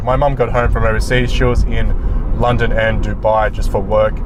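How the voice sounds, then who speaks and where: With an Australian accent, a man speaks at a moderate pace. Audible room echo and noticeable background noise accompany him. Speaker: sports reporter. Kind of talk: casual vlog monologue. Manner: loud; hesitant, many fillers.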